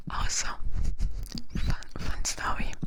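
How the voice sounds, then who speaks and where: A woman is whispering. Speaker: ASMR creator and virtual YouTuber. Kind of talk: ASMR roleplay, whispered sleep talk. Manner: soft, intimate, close-mic.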